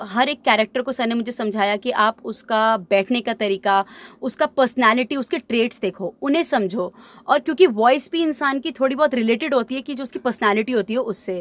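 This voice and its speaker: A woman with a high-pitched voice uses ordinary pitch variation, recorded with a dry, close sound and no echo. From India, Delhi region. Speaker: voice-over trainee. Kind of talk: interview answer. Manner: casual, conversational.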